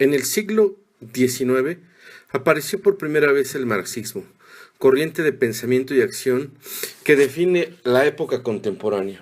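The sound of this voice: A man talks at a moderate pace with a medium pitch and lively intonation.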